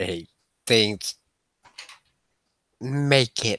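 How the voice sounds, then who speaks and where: The speaker is a man. His voice is a put-on character voice. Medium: actual play. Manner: blunt, gruff.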